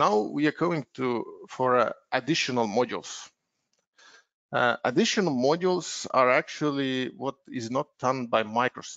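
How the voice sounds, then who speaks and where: Speaking at a fairly slow pace with an Estonian accent, a man uses medium pitch and ordinary pitch variation. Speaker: software consultant. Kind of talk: webinar presentation. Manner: hesitant, many filler words.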